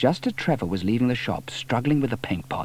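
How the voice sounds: Someone is reading. The voice sounds natural.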